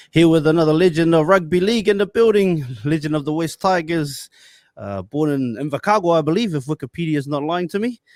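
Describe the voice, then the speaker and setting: In a New Zealand accent, a man talks at a fairly quick pace, his high-pitched voice showing ordinary pitch variation. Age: 30s. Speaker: podcast host. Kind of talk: casual interview.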